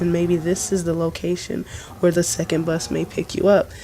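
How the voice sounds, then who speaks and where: Noticeable background noise is heard behind a woman's voice. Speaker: gaming video host. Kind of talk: casual game commentary.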